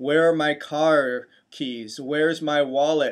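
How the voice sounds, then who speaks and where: This is an unremarkable speaking voice. A man speaks at a fairly high pitch. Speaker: chiropractor and health video host. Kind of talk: health educational talk to camera.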